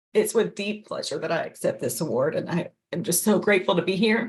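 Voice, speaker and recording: Putting on a raspy character voice, a woman talks at a fairly quick pace and a medium pitch. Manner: earnest, grateful.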